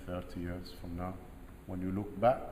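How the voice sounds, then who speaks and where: A man's somewhat breathy voice, dark, mellow tone, and audible room echo. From Jordan. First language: Arabic. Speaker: military general and security chief. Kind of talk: speech to cadets. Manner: emphatic, repetitive phrasing.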